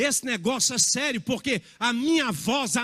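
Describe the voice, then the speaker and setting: Over a silent background in a very clean recording, a man with an extremely high pitch talks at a very slow pace in a raised, projected voice, his tone bright and sharp and his intonation lively. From Minas Gerais, Brazil (born in Bahia). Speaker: pastor. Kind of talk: sermon.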